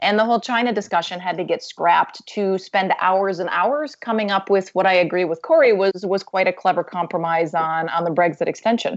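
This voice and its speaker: In an ordinary speaking voice, a woman talks at medium pitch with ordinary pitch variation and hardly any pauses. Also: fairly quick pace. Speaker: policy expert. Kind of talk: panel discussion.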